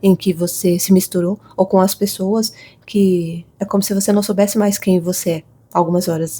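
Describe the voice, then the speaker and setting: A woman speaks at a moderate pace with a medium pitch and a dark, mellow tone that is somewhat breathy. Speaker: tarot reader. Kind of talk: intuitive tarot reading.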